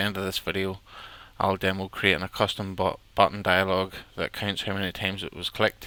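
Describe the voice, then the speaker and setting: At a fairly quick pace, a man with a fairly low pitch and a bright, sharp tone speaks with an Irish accent in a dry sound with no echo. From Ireland. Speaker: software tutorial presenter; presenter. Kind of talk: tutorial. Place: home room. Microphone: headset.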